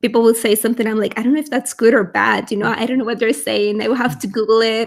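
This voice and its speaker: With a Spanish accent, a woman speaks at a fairly high pitch with vocal fry and fairly even intonation. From Venezuela. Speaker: language YouTuber. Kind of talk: casual chat. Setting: livestream video call.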